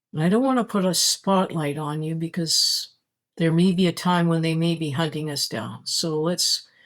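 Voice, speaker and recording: This woman's voice sits at a fairly low pitch with fairly even intonation. The recording is very clean, with a silent background. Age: 60s. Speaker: spirituality vlogger. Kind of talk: casual monologue. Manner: halting.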